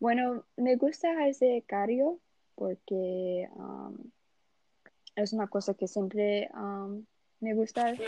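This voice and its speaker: Speaking at a very slow pace with long, frequent pauses, a woman with a Portuguese accent uses a fairly high pitch, a dark, mellow tone and ordinary pitch variation, her loudness swinging widely in a dry, close sound with no echo. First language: Portuguese (speaking Spanish). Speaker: university student. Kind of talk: casual chat. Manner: halting.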